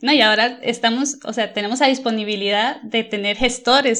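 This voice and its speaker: The intonation stays fairly even while noticeable background noise runs behind the voice. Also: woman. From Costa Rica. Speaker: environmental management consultant. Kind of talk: interview.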